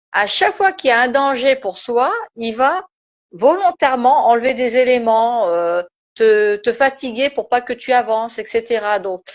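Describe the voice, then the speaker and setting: Lively intonation in a high-pitched female voice. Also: fairly slow pace. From Turkish background. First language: Turkish (speaking French). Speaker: spiritual live-stream host. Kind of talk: casual live-stream discussion. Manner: hesitant, many fillers.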